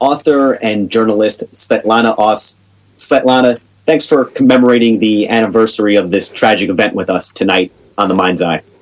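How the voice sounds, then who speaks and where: A man with an American accent speaks in a medium pitch. His pace is moderate, with ordinary pitch variation. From New York. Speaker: podcast host. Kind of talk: interview. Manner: halting, repeats words.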